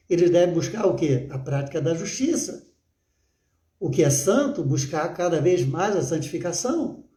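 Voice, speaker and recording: A man speaks in a high voice with a dark, mellow tone, his pitch swinging very widely while the room echoes audibly around him. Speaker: pastor. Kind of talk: sermon. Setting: livestream. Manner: halting with filler words.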